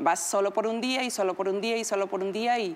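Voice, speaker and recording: A woman speaks at a moderate pace in a fairly high pitch. It is a normal speaking voice. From Mexico, Huasteca Potosina. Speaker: TV personality. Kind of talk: casual chat.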